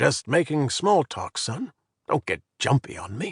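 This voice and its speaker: A man puts on a character voice, raspy and fairly high-pitched, with very wide pitch swings. He talks at a moderate pace, and the sound is dry and close with no echo. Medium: read story. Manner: folksy, talkative.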